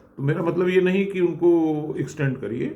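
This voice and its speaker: Audible room echo surrounds a man whose fairly high voice has a dark, mellow tone. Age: 70s. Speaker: retired engineer. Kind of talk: motivational talk.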